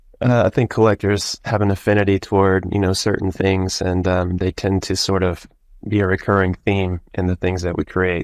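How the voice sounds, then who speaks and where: In an American accent, a man speaks with a very deep, low pitch, monotone, flat intonation and very even loudness, in a dry, close sound with no echo over a quiet background. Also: moderate pace. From US South, Georgia. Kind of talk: casual chat.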